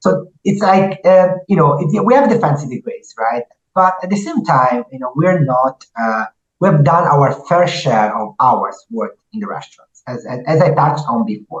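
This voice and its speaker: A man with an Italian accent speaks at a fairly high pitch, his voice somewhat breathy. His pitch swings very widely, at a moderate pace. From Italy. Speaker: restaurant entrepreneur. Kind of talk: podcast interview.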